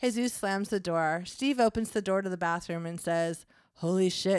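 This is an unforced reading voice. Its pitch rises and falls by an ordinary amount.

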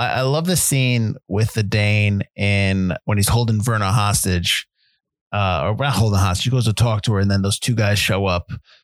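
A man talks in a plain, everyday voice at a moderate pace, fairly low-pitched with ordinary pitch variation and very even loudness. The sound is dry and close with no echo, on a very clean recording with a silent background. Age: 40s. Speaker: film podcast co-host. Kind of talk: casual chat.

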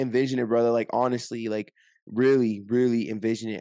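Over a quiet background, a man speaks at a moderate pace in a dark, mellow tone. His intonation is monotone and flat. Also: dry, close sound with no echo. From Orange County, California. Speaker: weight-loss influencer. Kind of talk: casual interview.

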